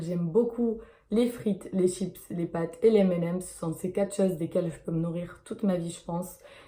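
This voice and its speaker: A woman talks with a dark, mellow tone. Her voice is somewhat breathy. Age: 20s. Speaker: YouTuber. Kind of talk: casual Q&A vlog. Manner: hesitant, many fillers.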